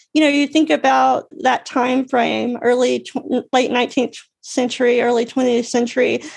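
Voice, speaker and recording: A woman with an American accent speaks at a high pitch and a moderate pace. Her intonation is fairly even and her loudness very even. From US South, Alabama. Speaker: artist and accessibility advocate. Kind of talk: casual interview. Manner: halting, many fillers and restarts.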